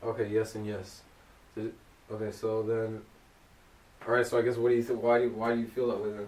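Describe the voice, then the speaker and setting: A man talks very fast at a medium pitch. His intonation is monotone and flat, broken by long, frequent pauses. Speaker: podcast host. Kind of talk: casual chat. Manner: loud.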